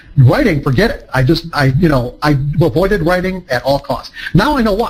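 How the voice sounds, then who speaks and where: A man with a high pitch talks at a fairly quick pace, his voice making very wide pitch swings. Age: 60s. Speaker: trading psychology author and speaker. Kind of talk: seminar talk to a live audience. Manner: halting, many fillers and restarts.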